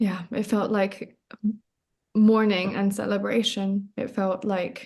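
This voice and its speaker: A woman at medium pitch, very slow in pace, with monotone, flat intonation. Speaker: spiritual coach. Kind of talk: podcast interview. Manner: halting.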